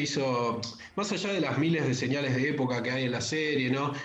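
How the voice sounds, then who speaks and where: Audible room echo and noticeable background noise around a man talking fairly quickly at a fairly high pitch. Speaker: pop culture columnist. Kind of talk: casual radio chat.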